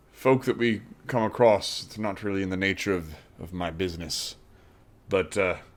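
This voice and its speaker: In a put-on character voice, a man sounds gruff at a fairly low pitch, his loudness swinging widely. He keeps a moderate pace broken by long, frequent pauses. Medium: actual play. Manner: gruff, candid.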